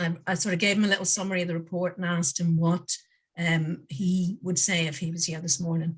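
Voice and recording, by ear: A woman with a fairly low pitch speaks at a fairly quick pace. Her pitch moves very little.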